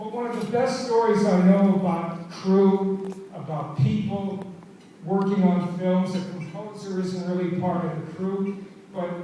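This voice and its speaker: Noticeable background noise and audible room echo fill this recording. A man speaks at a high pitch with fairly even intonation. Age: 70s. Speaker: film director receiving award. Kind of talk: acceptance speech.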